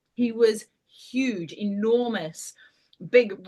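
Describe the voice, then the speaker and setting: This is a woman speaking with a New Zealand accent. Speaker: paranormal storyteller. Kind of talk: storytelling in casual chat.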